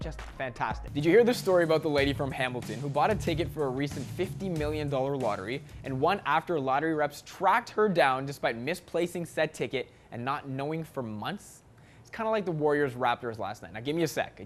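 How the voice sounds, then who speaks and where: Music plays in the background as a man talks at a fairly quick pace with hardly any pauses. His voice is fairly high, with lively intonation and an upbeat tone. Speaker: sports anchor. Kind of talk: sports news anchor demo reel, scripted TV delivery. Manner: upbeat, punny, polished.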